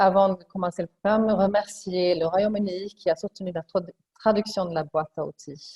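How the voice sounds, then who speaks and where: Somewhat breathy, a woman speaks at a moderate pace with a medium pitch. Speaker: webinar moderator. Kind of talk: webinar moderation.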